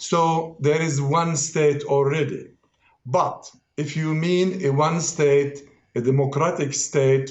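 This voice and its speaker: A man's fairly high, somewhat breathy voice at a very slow pace, with audible room echo. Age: 60s. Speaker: political analyst. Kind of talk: heated debate. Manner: animated.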